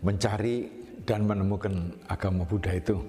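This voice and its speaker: Man with a fairly low pitch, fairly even intonation and a moderate pace, music in the background. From Indonesia, Madurese family. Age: 70s. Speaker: Buddhist monk, former business executive. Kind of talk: interview testimony. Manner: hesitant, many filler sounds.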